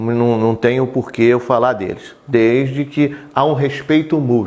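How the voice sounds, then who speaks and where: At a fairly slow pace, a man talks with medium pitch and fairly even intonation. Noticeable background noise is present. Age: 60s. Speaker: local politician. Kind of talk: interview.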